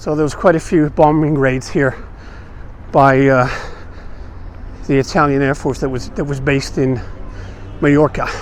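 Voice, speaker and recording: At a moderate pace, a man speaks in a fairly high pitch with fairly even intonation. Long, frequent pauses break up his speech over noticeable background noise. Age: 60s. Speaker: vlogger. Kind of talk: walking tour vlog. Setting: outdoors. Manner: casual, halting.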